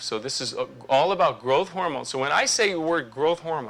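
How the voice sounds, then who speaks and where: Noticeable background noise sits under this man's speech. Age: 60s. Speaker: medical doctor giving a health talk. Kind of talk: lecture. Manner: casual, with fillers and restarts.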